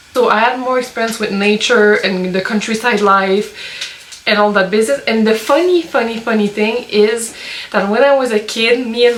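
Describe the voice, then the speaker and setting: Noticeable noise sits behind speech whose pitch moves in an ordinary way. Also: woman. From Quebec, suburbs of Montreal. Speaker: lifestyle vlogger. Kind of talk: casual vlog Q&A. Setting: outdoors in the woods by a sauna.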